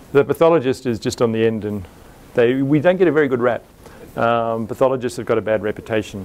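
A man speaking at a very fast pace with ordinary pitch variation. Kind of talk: lecture. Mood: wry, lightly humorous. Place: hall. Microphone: lapel.

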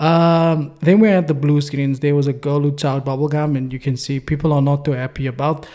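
Fairly even intonation at a fairly quick pace, hardly any pauses, a dark, mellow tone, and a quiet background. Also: man. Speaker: trading signal reviewer. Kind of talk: commentary. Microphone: studio mic.

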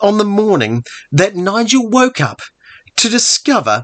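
The intonation rises and falls in a lively way. The text is plain reading aloud.

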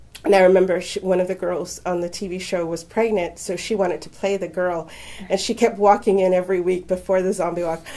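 Noticeable background noise surrounds a woman speaking at a fairly quick pace. Her medium-pitched voice has a monotone, flat intonation. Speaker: university instructor. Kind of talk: casual interview.

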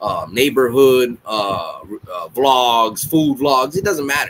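A man's voice over light background noise. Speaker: reaction channel host. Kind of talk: casual vlog chat. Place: home room. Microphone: webcam.

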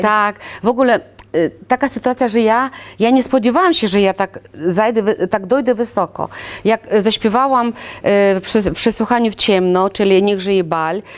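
Ordinary pitch variation and a moderate speed from a woman's voice. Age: 60s. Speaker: singer, sworn translator, Russian teacher. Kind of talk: interview answer. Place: studio.

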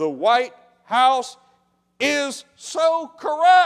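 A man speaks at an extremely high pitch with a fairly bright tone. His delivery is very slow, with big pitch swings.

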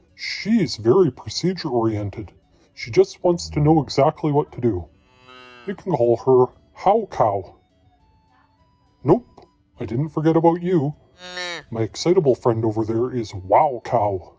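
In a cartoonish character voice, a man speaks at medium pitch with long, frequent pauses as faint music plays in the background. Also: moderate pace.

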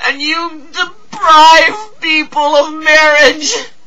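A man's raised, projected voice at a very slow pace, over light background noise. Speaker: actor. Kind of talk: dramatic monologue. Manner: impassioned, pleading. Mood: anguished, pleading. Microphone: webcam.

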